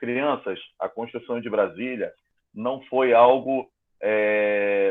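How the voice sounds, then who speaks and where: In a Brazilian accent, a man with a medium pitch speaks at a very slow pace with fairly even intonation. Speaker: school teacher. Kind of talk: online class lesson.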